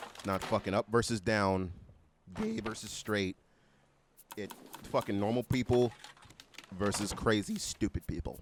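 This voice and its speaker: A man with a fairly low pitch and an animated tone speaks at a moderate pace with long, frequent pauses, in a dry, close sound with no echo over noticeable background noise. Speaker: commentary youtuber. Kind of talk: political rant to camera.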